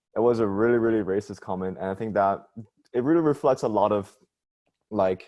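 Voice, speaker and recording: A man talks with a Chinese accent in a fairly low pitch. His tone is dark and mellow, and the background is quiet. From China. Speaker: youth panelist. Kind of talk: panel discussion.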